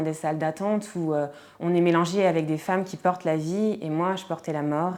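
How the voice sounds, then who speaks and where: Fairly low in pitch, a woman speaks with fairly even intonation in a very clean recording with a silent background. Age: 30s. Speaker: podcaster. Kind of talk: testimony. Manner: hesitant, many fillers.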